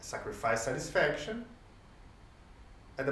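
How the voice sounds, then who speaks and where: The speaker talks with a Portuguese accent. Background noise is noticeable, and room echo is audible. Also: man. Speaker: sports coach and lecturer. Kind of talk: lecture. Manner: halting.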